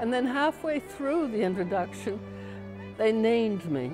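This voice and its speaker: Music plays in the background as a woman speaks. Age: 80s+. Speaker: artist and writer, college graduate. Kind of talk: interview answer.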